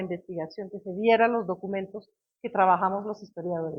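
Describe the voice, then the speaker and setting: Medium-pitched female speech, fairly quick and fairly even in intonation. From Belgium. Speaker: history professor. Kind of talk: lecture. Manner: halting.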